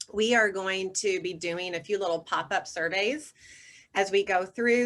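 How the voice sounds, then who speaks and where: A woman with a Southern US accent and a bright, sharp tone. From US South, North Carolina. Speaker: communications consultant, former broadcast reporter. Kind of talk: webinar presentation. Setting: video call.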